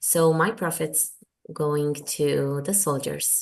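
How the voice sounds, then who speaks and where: The speaker is a woman. She talks with an Israeli accent. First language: Hebrew. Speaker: author. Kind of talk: interview. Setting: video call. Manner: halting.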